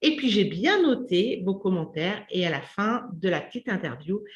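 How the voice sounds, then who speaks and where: At a very slow pace, a woman with a fairly high, somewhat breathy voice speaks with lively intonation. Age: 50s. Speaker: community host, menopause channel. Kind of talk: interview.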